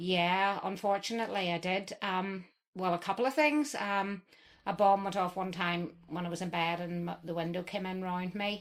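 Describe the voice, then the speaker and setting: A woman with a Northern Irish accent speaks at a moderate pace, with medium pitch and ordinary pitch variation. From Northern Ireland, County Tyrone. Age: 60s. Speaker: interview guest. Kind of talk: interview.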